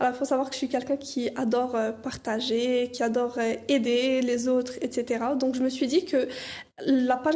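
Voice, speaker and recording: Speaking at a moderate pace, a woman uses a high, dark, mellow voice with fairly even intonation. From Canada. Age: 20s. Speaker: dental student and content creator. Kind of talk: interview. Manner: hesitant, many fillers.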